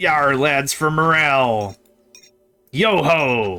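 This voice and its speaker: A man's put-on character voice, fairly high and lively in intonation, at a very slow pace. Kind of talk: pirate-like speech. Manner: jaunty, hearty.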